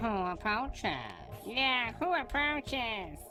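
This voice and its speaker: A female-sounding, put-on character voice speaks at a high pitch and a fairly slow pace. Clear music is heard in the background. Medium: audio drama. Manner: repetitive, each line echoed.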